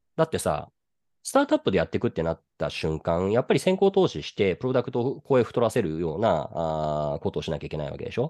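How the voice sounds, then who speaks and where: Over a quiet background, a man with a dark, mellow, fairly low voice talks at a very fast pace, his pitch swinging very widely. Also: dry, close sound with no echo. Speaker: venture capitalist podcast co-host. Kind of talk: casual chat.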